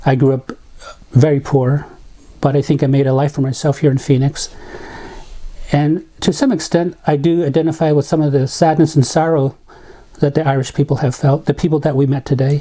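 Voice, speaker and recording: A man with a fairly high pitch speaks at a very even loudness, somewhat breathy, in a flat monotone broken by long, frequent pauses. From Navajo reservation, US Southwest. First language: Navajo. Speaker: community volunteer. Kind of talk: interview testimony. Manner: reflective, with hesitations.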